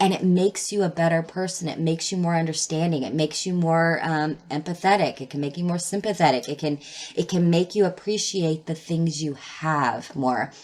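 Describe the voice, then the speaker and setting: In a normal speaking voice, a woman with a fairly low pitch talks at a fairly quick pace with fairly even intonation and hardly any pauses. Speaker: tarot reader. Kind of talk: tarot reading. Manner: casual, filler words.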